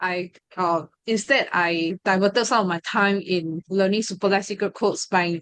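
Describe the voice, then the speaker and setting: In a Mandarin accent, a woman talks at a fairly slow pace with medium pitch and fairly even intonation, the sound dry and close with no echo against a quiet background. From Malaysia, ethnic Chinese. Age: 20s. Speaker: study group member sharing experience, law student. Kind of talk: testimony. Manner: hesitant, many fillers.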